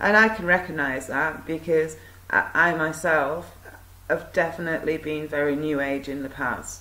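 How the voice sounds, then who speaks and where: A woman with a very deep, low pitch uses ordinary pitch variation, and audible room echo surrounds her voice. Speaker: video blogger. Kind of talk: monologue talk to camera. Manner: hesitant, many fillers.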